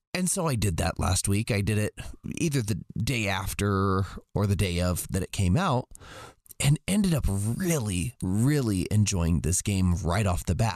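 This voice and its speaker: A man with a fairly low, growling voice speaks at a fairly slow pace, his intonation lively and his loudness very even, in a dry, close recording with no echo. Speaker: co-host. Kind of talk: casual chat.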